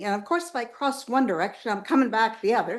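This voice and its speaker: A woman talks with a fairly high pitch. Room echo can be heard on the recording. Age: 80s+. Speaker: public commenter. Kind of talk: public comment at council meeting. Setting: city council meeting.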